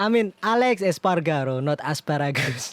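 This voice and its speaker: A man talks at a fairly slow pace and fairly high pitch, his intonation lively. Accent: non-native. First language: not English. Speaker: gaming youtuber. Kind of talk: gameplay commentary. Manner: halting.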